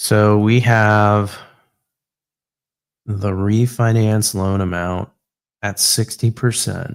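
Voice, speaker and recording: A man's fairly low, monotone, flat voice at a very slow pace, with long, frequent pauses on a very clean recording with a silent background. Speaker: livestreamer working on real estate finance models. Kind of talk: thinking aloud while working on a spreadsheet. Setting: livestream. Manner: halting.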